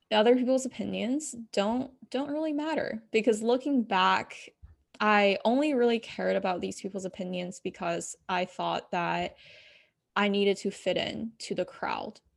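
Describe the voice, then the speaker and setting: With a normal speaking voice, a woman talks fairly slowly at a fairly high pitch with ordinary pitch variation on a very clean recording with a silent background. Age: young. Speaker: fitness and life coach. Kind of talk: casual interview.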